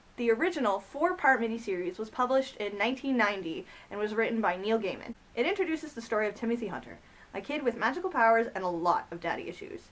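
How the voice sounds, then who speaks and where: Noticeable background noise sits behind a woman talking at a very fast pace. Her voice is fairly high-pitched, with lively intonation. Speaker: comic book reviewer. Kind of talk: casual talk to camera. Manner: stuttering in parts.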